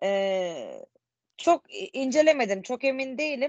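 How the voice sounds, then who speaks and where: A woman speaks at a very slow pace with lively intonation. The sound is dry with no echo, and the background is quiet. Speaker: student. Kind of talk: presentation. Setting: video call. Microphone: video call.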